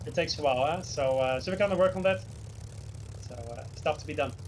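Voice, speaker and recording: Very fast, somewhat breathy speech in a Dutch accent with very wide pitch swings. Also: man. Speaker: flight sim developer and streamer. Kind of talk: tutorial. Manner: instructive, hesitant with fillers.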